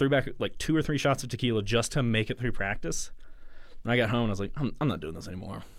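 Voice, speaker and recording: The pace is very fast. A man speaks at a medium pitch. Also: ordinary pitch variation. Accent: Southern US. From US South, Mississippi. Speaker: musician. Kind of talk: casual chat. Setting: studio.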